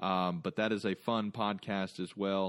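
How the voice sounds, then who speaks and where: A man with an American accent speaks at a fairly low pitch with fairly even intonation. The sound is dry and close with no echo, and the background is quiet. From North Carolina. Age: 30s. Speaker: podcast host. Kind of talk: solo outro monologue; casual interview. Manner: halting, many fillers.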